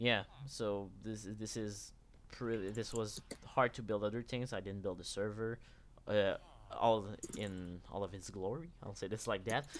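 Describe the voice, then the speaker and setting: A man talks in a French Canadian accent at a fairly slow pace. His pitch is fairly low and his intonation fairly even. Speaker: game server builder. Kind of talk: live stream chat.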